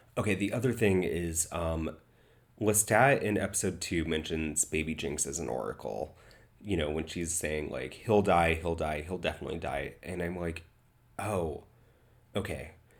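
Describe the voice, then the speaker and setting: A man's very deep, low voice carries vocal fry. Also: ordinary pitch variation, moderate pace. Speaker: TV show reviewer, self-described influencer. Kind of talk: casual reaction and review talk. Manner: casual, many fillers.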